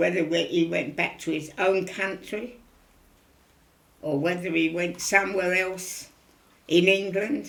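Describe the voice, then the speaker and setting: Over audible room echo, a woman speaks with vocal fry at a fairly slow pace. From London East End. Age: 90s. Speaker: elderly local resident. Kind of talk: interview. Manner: repetitive, conversational.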